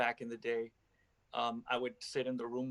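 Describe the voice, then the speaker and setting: With music in the background, a man talks at a medium pitch in a monotone, flat intonation. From Los Angeles, US. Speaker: rapper. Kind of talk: casual interview chat.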